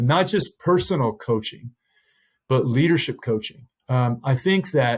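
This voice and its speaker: A somewhat breathy man at medium pitch speaks at a fairly slow pace with lively intonation. The loudness is very even, and the recording is very clean with a silent background. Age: 60s. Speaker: pastor. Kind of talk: interview.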